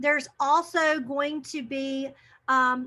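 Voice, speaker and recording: Her voice is raised and projected, high-pitched for a woman, with a bright, sharp tone. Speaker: teacher trainer. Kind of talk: webinar presentation. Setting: video call.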